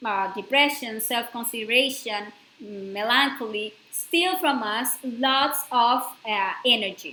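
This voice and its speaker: With a non-native accent, a woman speaks at a fairly slow pace in a high, bright, sharp tone with lively intonation. Audible room echo surrounds her voice. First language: not English. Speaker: spiritual course lecturer. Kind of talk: lecture. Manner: halting, with fillers.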